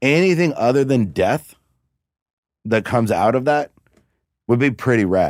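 A man with an American accent, medium pitch, lively intonation, very even loudness and long, frequent pauses. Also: moderate pace. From Cincinnati, Ohio. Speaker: stand-up comedian. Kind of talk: casual chat. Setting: studio.

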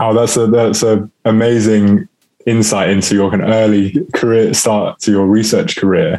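Keeping very even loudness and fairly even intonation, a man talks at a moderate pace in a fairly low voice with a dark, mellow tone. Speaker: podcast host. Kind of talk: intro and interview questions.

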